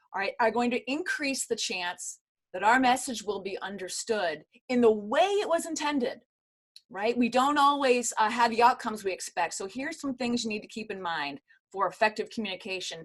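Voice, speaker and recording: A woman speaks at a moderate pace, her high pitch making very wide swings. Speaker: corporate communications consultant. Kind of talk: virtual workshop lecture. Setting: video call.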